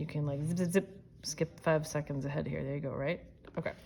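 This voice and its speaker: A woman talks in a very deep, low pitch with a dark, mellow tone. Her intonation stays fairly even, and her voice is somewhat breathy. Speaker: art teacher. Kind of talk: tutorial. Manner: casual and chatty; briefly whispering.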